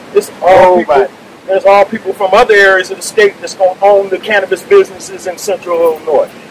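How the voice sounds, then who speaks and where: Very fast and high-pitched, a man talks with an American accent in a dry sound with no echo, over noticeable background noise. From US Midwest. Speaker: rally leader, retired politician. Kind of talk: rally speech. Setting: outdoors. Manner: animated. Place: street. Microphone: podium.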